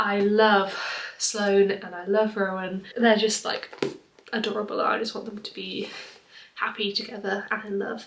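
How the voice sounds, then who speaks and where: A woman's medium-pitched voice with an English accent, monotone, flat intonation and a moderate pace, big swings in loudness and noticeable background noise. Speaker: book vlogger. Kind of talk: casual vlog. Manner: soft-spoken.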